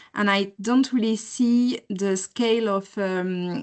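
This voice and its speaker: Against a quiet background, a woman speaks with a French accent and fairly even intonation. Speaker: postdoctoral researcher. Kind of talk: question in webinar Q&A. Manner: halting, many fillers.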